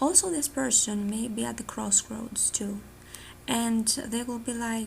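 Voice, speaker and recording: The voice belongs to a woman. It sits fairly high in pitch. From Greece. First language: Greek. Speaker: tarot reader. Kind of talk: tarot reading monologue. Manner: casual, filler-heavy.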